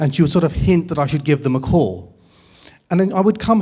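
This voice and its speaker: A man with an English accent speaks at a fairly quick pace in a high pitch, his tone dark and mellow, with ordinary pitch variation. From England. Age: 50s. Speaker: writer and documentary maker. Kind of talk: public talk. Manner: conversational.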